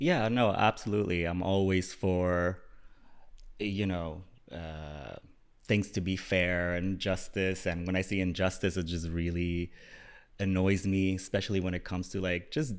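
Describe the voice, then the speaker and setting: Captured in a very clean recording with a silent background, a man with a very deep, low pitch speaks at a fairly slow pace with fairly even intonation. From UAE. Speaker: content creator. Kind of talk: casual chat. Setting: studio.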